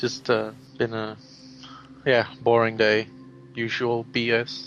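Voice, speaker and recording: Over music in the background, a man speaks very slowly in a monotone, flat intonation. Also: medium pitch for a man. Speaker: amateur voice actor. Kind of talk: interview. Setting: voice call. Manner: casual, hesitant.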